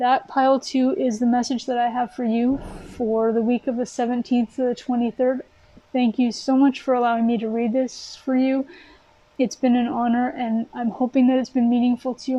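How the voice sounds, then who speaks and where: A woman speaks at a fairly quick pace in a high, flat monotone. Noticeable background noise is present. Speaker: tarot reader. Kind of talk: tarot reading monologue. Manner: earnest, encouraging.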